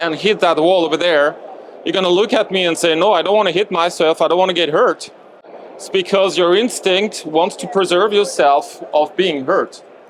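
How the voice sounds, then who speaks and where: A high-pitched man with a French accent, moderate pace and fairly even intonation, with noticeable background noise. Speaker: movement coach presenter. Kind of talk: lecture. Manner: halting.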